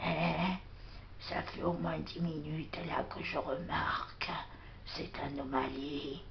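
A woman whispers in a cartoonish character voice at a fairly slow pace. Loud background noise runs underneath. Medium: puppet.

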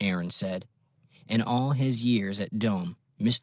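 A passage is read aloud here in a natural voice.

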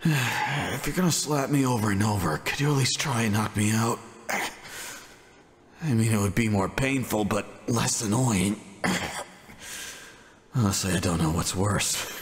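Putting on a character voice, a man speaks raspily at a medium pitch and moderate pace, with lively intonation and long, frequent pauses. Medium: audio drama. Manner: gruff, sarcastic.

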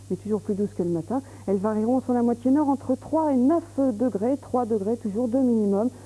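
A woman speaks with a dark, mellow tone that is somewhat breathy. Her pitch moves in an ordinary way. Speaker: TV presenter. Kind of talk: weather forecast presentation. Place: studio. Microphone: lapel.

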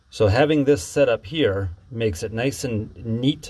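Somewhat breathy male speech with ordinary pitch variation. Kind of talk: tutorial. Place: boat. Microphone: phone near.

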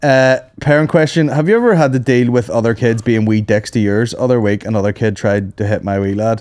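Over a quiet background, a man with a Northern Irish accent talks at a fairly quick pace with ordinary pitch variation and hardly any pauses. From Northern Ireland. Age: 30s. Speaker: comedian. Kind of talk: casual chat. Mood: jokey, relaxed. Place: studio. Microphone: studio mic.

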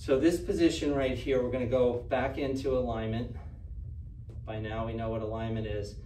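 A man at medium pitch keeps a fairly even intonation, with audible room echo and light background noise. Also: moderate pace. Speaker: standing meditation teacher. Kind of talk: guided standing meditation, calm step-by-step instruction. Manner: relaxed, occasionally laughing and playful. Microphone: camera far.

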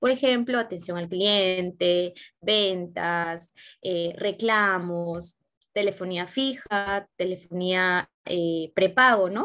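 A woman talks at a very slow pace in a bright, sharp tone with ordinary pitch variation. The background is quiet. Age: 20s. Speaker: job candidate in a mock interview; interview candidate. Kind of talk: simulated job interview. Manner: hesitant, many filler sounds. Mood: calm, earnest. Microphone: video call.

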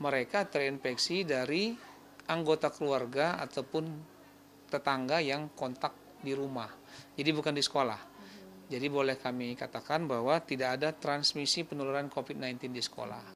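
There is light background noise behind this man. He speaks at a moderate pace with ordinary pitch variation. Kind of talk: interview answer. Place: office. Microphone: handheld.

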